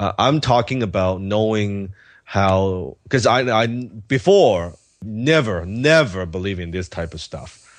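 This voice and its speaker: Against a quiet background, a man with a Cantonese accent speaks fairly slowly at a fairly low pitch, with lively intonation and big swings in loudness. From Hong Kong, then Vancouver from age 14. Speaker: entrepreneur and author. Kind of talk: interview.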